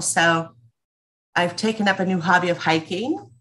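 At a fairly slow pace, a woman talks with a fairly low pitch. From Los Angeles, US. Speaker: entrepreneur, former corporate director; podcast guest. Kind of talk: casual chat. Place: home room. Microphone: video call.

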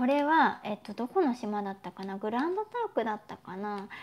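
The woman's delivery keeps a moderate pace. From Japan. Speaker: YouTuber. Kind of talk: live stream chat. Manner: casual, chatty. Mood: friendly, cheerful. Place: home room. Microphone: lapel.

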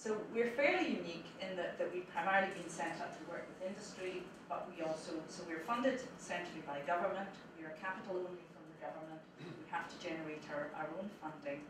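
The speech moves at a fairly quick pace, with audible room echo and noticeable background noise. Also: woman. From Scotland. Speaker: supercomputing centre director. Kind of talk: conference talk. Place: classroom.

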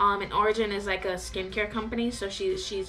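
Faint music plays behind the voice. The speaker is a woman. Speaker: vlogger. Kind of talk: casual storytime vlog chat. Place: home room. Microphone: camera far.

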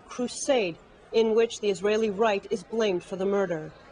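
A woman's fairly even intonation comes at a fairly quick pace, with clearly audible noise behind her. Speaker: news anchor. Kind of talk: news reading.

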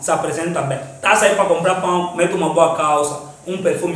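Audible room echo surrounds a man talking at a fairly quick pace and high pitch, his intonation fairly even. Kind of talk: comic sketch dialogue, street slang. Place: empty room.

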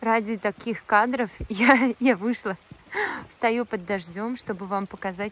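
At a fairly slow pace, a woman is talking. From Bashkortostan, Russia (Mishkino district). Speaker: vlogger. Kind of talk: travel vlog narration. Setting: in a car. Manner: animated.

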